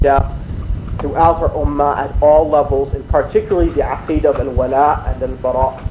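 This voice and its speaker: Against noticeable background noise, a man with an American accent speaks at a fairly quick pace. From Washington DC, USA. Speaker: Islamic lecturer. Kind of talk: religious lecture.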